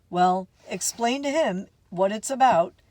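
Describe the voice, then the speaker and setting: Using a put-on character voice, a woman speaks fairly slowly at a fairly high pitch with lively intonation. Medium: read story. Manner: dry, offhand.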